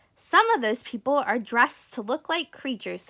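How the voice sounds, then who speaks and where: High-pitched put-on character voice from a woman, moving at a moderate pace. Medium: read story. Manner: eager.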